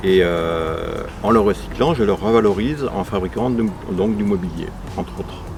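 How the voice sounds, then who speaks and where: A man's fairly low voice with lively intonation at a fairly slow pace, amid noticeable background noise and audible room echo. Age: 60s. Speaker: craftsman, furniture maker. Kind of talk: interview testimony. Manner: hesitant, many fillers.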